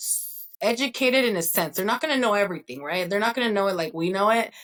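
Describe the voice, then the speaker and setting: This woman's pitch varies in an ordinary way. Her accent is Spanish. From Northern California. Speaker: mortgage broker. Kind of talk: interview.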